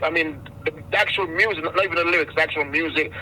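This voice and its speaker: Over noticeable background noise, a high-pitched man races along at a very fast pace with ordinary pitch variation. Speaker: radio host. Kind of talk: radio interview. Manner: halting, many repetitions.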